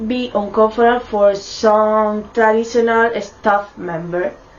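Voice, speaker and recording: A speaker with a non-native accent is heard over noticeable background noise. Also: woman. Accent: non-native English pronunciation. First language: Spanish. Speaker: university student. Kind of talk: student presentation.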